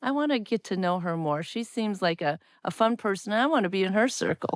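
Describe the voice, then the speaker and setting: In a very clean recording with a silent background, a woman with a Midwestern US accent speaks at a medium pitch. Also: dry, close sound with no echo. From US Midwest, Wisconsin. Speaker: podcast host, former teacher, technology officer. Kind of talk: casual chat.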